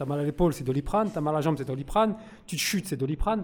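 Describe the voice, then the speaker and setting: With ordinary pitch variation, a man talks in a fairly high pitch. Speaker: audience member, prison inmate. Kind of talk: audience question. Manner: halting.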